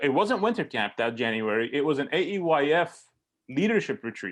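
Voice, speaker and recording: On a very clean recording with a silent background, a man with an Armenian accent speaks in very wide pitch swings. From Syria (Aleppo), moved to US Bay Area as teen. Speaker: pastor and camp director. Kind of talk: casual interview chat. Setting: podcast recording. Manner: many fillers and repetitions.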